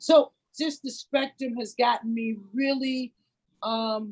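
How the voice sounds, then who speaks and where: A woman talks with fairly even intonation. Her voice is somewhat breathy. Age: 60s. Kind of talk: emotional sharing in a group video chat. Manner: halting.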